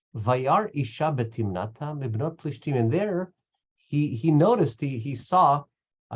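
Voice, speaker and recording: A man speaks with lively intonation at a moderate pace. His voice is somewhat breathy. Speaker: Bible study teacher. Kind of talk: text study class. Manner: halting.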